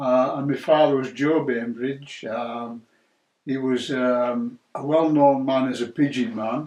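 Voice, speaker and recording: With a Cumbrian accent, a man speaks at a medium pitch and a fairly slow pace. His intonation is fairly even. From northern England, Carlisle, Cumbria. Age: 60s. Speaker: churchgoer sharing faith story. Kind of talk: testimony. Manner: hesitant, with many fillers.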